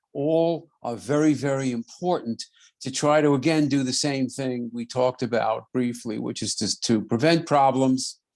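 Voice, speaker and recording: With a New York accent, a man speaks at a fairly slow pace against a quiet background. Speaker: podiatrist and radio host. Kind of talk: interview conversation.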